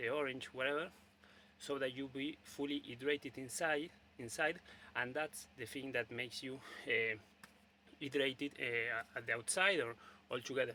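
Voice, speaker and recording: A man's medium-pitched voice with a bright, sharp tone and a Spanish accent, fairly even intonation, moderate pace, and long, frequent pauses. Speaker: video blogger. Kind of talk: casual monologue. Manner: halting, many fillers and repetitions.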